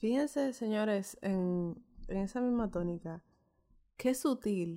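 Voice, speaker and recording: At a very slow pace, a woman with a bright, sharp tone speaks in a very clean recording with a silent background. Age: 20s. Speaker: podcast host. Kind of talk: casual chat.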